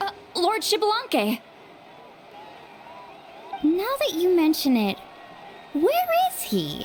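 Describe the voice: In a cartoonish character voice, a woman speaks slowly at an extremely high pitch with very wide pitch swings, over faint crowd noise and faint background noise.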